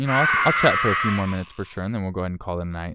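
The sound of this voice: A man speaks with a low pitch and a fairly bright, resonant tone. His voice is clear and smooth.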